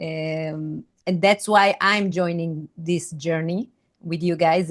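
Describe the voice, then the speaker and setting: At a very slow pace, a woman talks in a fairly low pitch with fairly even intonation. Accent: non-native. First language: not English. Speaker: retreat team member. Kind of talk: video call conversation. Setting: video call. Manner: halting.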